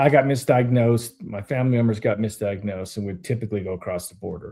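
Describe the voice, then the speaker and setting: Very fast and somewhat breathy, a man speaks at a medium pitch with a dark, mellow tone and ordinary pitch variation on a very clean recording with a silent background. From Canada. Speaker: podcast host. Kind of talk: casual interview chat.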